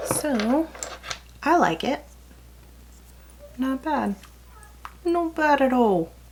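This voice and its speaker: The speaker talks very slowly with long, frequent pauses and very wide pitch swings, in a slight Texas accent, over noticeable background noise. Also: woman, high pitch for a woman. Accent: slight Texas country twang. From California, then Texas from age 14. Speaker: beauty vlogger. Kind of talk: casual makeup tutorial. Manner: chatty, rambling.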